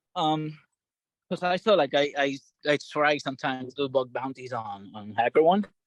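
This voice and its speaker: In a non-native accent, the speaker talks at a moderate pace with lively intonation, in a dry, close sound with no echo against a quiet background. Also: man, fairly high pitch for a man. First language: not English. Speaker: bootcamp participant. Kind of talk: Q&A. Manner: halting.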